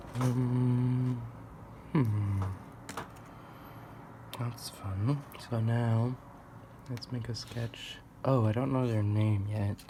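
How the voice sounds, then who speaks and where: This soft-spoken voice moves at a very slow pace. Long, frequent pauses break up the speech. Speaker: amateur artist and martial arts practitioner. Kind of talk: soft-spoken musing while drawing.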